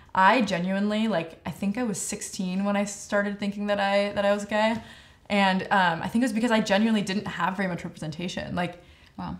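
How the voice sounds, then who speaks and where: Speaking with an American accent, a woman moves at a fairly quick pace. Her intonation stays fairly even. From Southern California, Calabasas; Southern California. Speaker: singer and music video director; guest. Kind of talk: casual interview. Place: studio.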